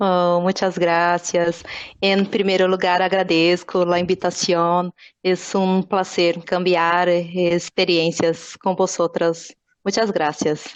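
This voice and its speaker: A woman at a very slow pace, with a fairly low pitch, very even loudness and monotone, flat intonation. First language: Portuguese (speaking Spanish). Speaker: psychologist. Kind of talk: podcast interview.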